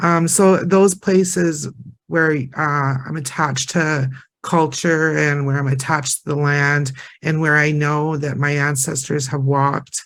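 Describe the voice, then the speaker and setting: A man with a Prairie accent, fairly high in pitch, at a fairly slow pace with fairly even intonation. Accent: Canadian English, Prairie. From northern Alberta, Canada. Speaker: Métis community member and heritage interpreter. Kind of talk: panel discussion sharing circle. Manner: hesitant, many fillers and repetitions.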